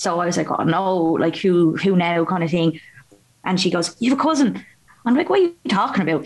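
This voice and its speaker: A woman with a fairly low pitch and a plain, everyday voice speaks at a fairly quick pace, her pitch varying in an ordinary way. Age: 20s. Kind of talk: casual interview chat.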